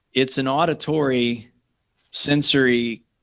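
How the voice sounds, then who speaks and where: A man with an American accent and a monotone, flat intonation. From Southern California, Orange County. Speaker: radio host and songwriter. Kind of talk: radio interview.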